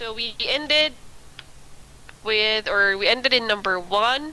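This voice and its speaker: Against noticeable background noise, a woman talks at a fairly high pitch with ordinary variation. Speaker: online English teacher. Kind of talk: one-on-one English lesson.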